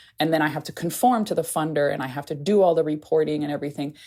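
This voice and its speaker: Over a silent background on a very clean recording, a woman talks very fast with lively intonation in a dark, mellow tone. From Haiti. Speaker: anthropologist and aid reform advocate. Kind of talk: podcast interview. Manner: casual, conversational.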